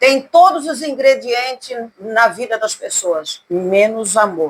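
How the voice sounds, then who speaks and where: Her pace is very slow. The woman's fairly high voice has lively intonation. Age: 60s. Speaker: gospel singer. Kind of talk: casual interview. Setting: at her home.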